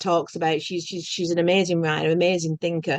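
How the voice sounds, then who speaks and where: A woman with a Lancashire accent talks at a fairly quick pace with a fairly low pitch. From northern England, Bolton. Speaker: podcast host. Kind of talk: casual spiritual conversation.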